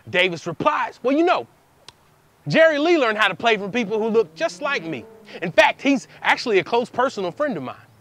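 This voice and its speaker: Noticeable background noise sits under a man with a high voice. He talks at a fairly quick pace with very wide pitch swings. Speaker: spoken word poet, performer in a poetry duo. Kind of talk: spoken word poetry performance, with call-and-response trading of lines between two poets. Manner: fast-paced, high-energy, rhythmic.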